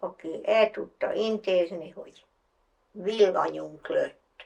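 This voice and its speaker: A woman at a very slow pace. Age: 80s+. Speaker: farmer. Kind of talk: documentary interview monologue.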